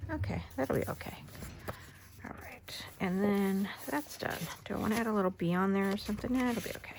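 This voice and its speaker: Soft-spoken speech at a fairly quick pace with ordinary pitch variation and noticeable background noise. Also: woman, medium pitch for a woman. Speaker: crafter. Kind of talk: tutorial.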